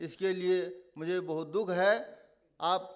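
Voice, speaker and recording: Room echo can be heard around the man's voice as he talks. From Nepali-speaking family, Maithili region. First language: Nepali (speaking Hindi). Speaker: conference speaker. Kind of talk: conference speech. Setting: stage with audience.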